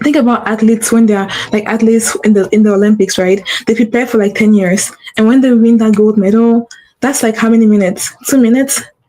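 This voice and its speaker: A woman with a non-native accent, very fast pace, fairly high pitch, very even loudness and an animated tone. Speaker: podcast host and business coach. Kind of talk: solo livestream podcast talk. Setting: livestream. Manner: animated, repetitive.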